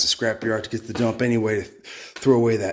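Very fast speech comes from a man against a quiet background. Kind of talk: casual vlog chat. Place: garage. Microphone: phone near.

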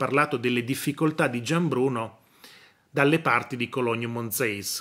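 With a quiet background behind him, a man's speech moves at a moderate pace, his pitch varying in an ordinary way. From northern Italy, Novara area; northern Italy. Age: 40s. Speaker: news commentator and professor; news commentator, professor. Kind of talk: news commentary monologue. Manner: hesitant, repetitive. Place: home room. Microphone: phone near.

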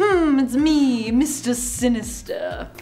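Doing a put-on character voice, a woman speaks at a high pitch over clear background noise. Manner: sinister, menacing.

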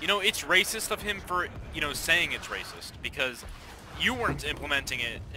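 A man speaks at a fairly quick pace with a high pitch and very wide pitch swings. Noticeable background noise runs underneath. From Canada. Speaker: gamer. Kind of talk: casual chat. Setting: voice chat.

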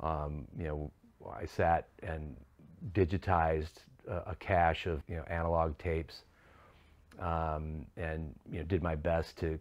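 A man speaks with a very deep, low pitch in a monotone, flat intonation. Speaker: interviewee. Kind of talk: interview answer. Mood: reflective, somber. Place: studio.

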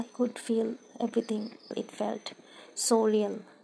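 Fairly high-pitched female voice with a dark, mellow tone at a fairly slow pace. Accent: non-native. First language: non-native English speaker. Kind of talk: casual Q&A talk to camera.

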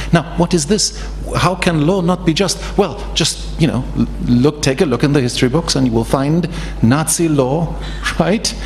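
Over light background noise, a man's speech unfolds at a moderate pace. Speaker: law professor. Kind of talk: panel talk. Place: hall. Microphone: podium.

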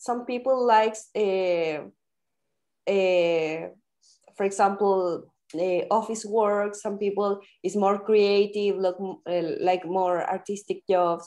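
Against a quiet background, a woman speaks very slowly with a dark, mellow tone and fairly even intonation. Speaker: podcast host. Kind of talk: casual interview. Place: home room. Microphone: video call.

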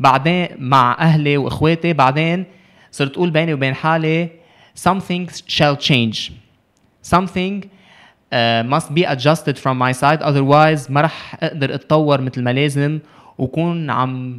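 Against a quiet background, a man with a fairly high pitch speaks at a moderate pace with fairly even intonation. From Lebanon. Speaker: youth ambassador and sports advocate; podcast guest. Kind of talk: casual interview. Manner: code-switching with English. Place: studio. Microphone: studio mic.

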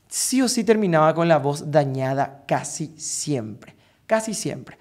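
Animated man with a Paraguayan accent, lively intonation and a quiet background. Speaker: vocal coach. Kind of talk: tutorial. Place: home room. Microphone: studio mic.

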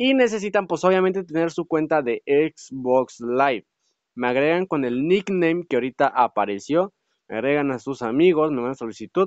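An animated tone with lively intonation at a moderate pace. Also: man, fairly high pitch for a man. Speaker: gaming youtuber. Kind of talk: gameplay commentary.

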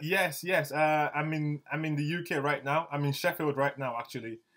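Against a quiet background, a man speaks at a fairly high pitch in an enthusiastic tone, keeping a fairly slow pace. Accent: London. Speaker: interviewer, podcast host. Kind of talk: casual interview chat. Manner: casual, friendly, enthusiastic. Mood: cheerful, laughing. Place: home room.

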